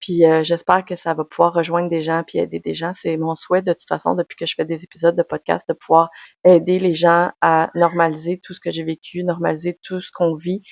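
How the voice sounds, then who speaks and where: A woman with a Quebec accent talks at a fairly quick pace and a fairly low pitch. Her intonation is monotone and flat, while her loudness swings widely. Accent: Québécois French. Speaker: podcaster, personal development coach. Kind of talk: personal testimony monologue.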